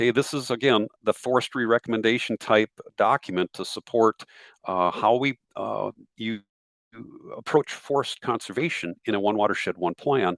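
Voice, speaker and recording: The sound is dry and close with no echo as a man of medium pitch speaks with ordinary pitch variation. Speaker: forestry program presenter. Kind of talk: webinar presentation. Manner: fast.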